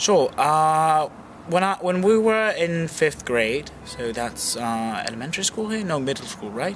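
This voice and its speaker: A man talks at a fairly slow pace in a fairly high pitch, his pitch swinging very widely. Music plays behind him. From Peru. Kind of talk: interview answer. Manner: casual, hesitant.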